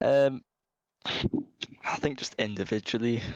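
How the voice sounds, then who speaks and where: A man with a Geordie accent, recorded dry and close with no echo. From Newcastle, northern England. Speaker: esports team captain. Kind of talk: post-match interview.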